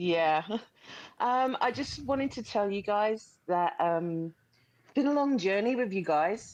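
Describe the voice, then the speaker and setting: With a New Zealand accent, a woman talks fairly slowly at a medium pitch, her intonation lively and her loudness swinging widely, over a quiet background. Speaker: caller. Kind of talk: casual chat.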